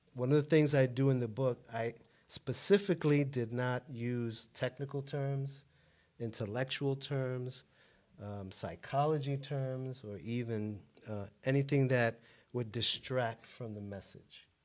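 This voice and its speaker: Fairly slow and medium in pitch with ordinary pitch variation, a man talks in a plain, everyday voice on a very clean recording with a silent background. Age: 60s. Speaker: author and self-help guest. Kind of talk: interview.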